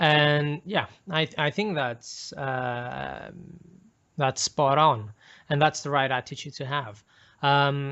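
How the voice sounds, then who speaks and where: Very slowly, a man with a non-native accent speaks at a fairly high pitch. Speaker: MGTOW video host. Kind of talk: casual chat.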